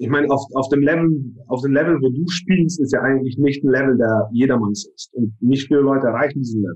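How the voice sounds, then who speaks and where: A man speaks at a fairly quick pace in an ordinary speaking voice. His pitch is fairly high and his intonation lively. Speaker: business professional. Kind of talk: casual chat.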